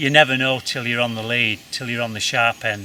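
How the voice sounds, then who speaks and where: A man talks at a medium pitch in a monotone, flat intonation. Noticeable noise sits in the background. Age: 70s. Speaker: rock climber. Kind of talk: casual vlog talk to camera. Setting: outdoors.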